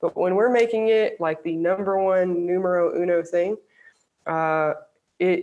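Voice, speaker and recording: In a normal speaking voice, a woman with an American accent talks at a fairly slow pace and medium pitch, with fairly even intonation over a quiet background. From US South, Alabama. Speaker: sports psychology professor. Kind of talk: interview.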